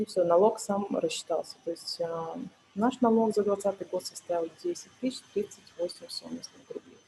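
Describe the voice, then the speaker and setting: A woman talks at a moderate pace and medium pitch, her tone dark and mellow. Her voice is somewhat breathy, with lively intonation. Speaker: tax accountant, webinar speaker. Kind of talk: webinar tutorial. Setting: online webinar.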